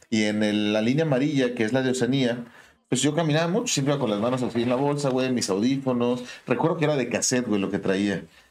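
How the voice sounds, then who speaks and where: A man's medium-pitched voice at a very fast pace, ordinary pitch variation, very even loudness, and audible room echo. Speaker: podcast co-host. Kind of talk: casual chat.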